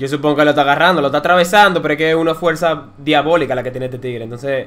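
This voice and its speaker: A man's fairly high voice rushes along at a very fast pace. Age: 20s. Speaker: gaming YouTuber. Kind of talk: gameplay commentary. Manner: casual, excitable.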